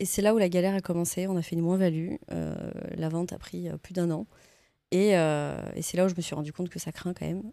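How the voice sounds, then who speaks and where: The voice moves at a fairly quick pace with fairly even intonation and a dark, mellow tone. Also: woman, fairly low pitch for a woman. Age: 30s. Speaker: real estate investor and entrepreneur. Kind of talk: casual interview. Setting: office studio.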